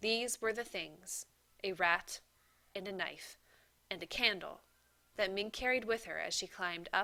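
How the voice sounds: The speaker reads naturally, the pitch shifting by ordinary degrees.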